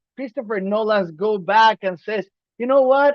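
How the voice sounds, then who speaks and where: In a non-native accent, a man speaks at a moderate pace in a high pitch, his tone animated and his pitch variation ordinary. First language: not English. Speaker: podcast co-host. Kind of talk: casual chat.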